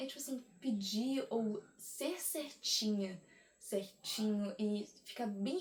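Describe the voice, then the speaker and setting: Ordinary pitch variation in a woman's somewhat breathy voice. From Brazil. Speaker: vlogger. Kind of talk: casual monologue to camera.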